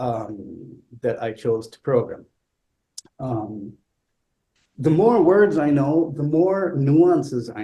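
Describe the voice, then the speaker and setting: Very slowly and somewhat breathily, a man with a non-native accent speaks in a dark, mellow tone. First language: not English. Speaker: classical flutist. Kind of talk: talk. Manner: halting, repeats words.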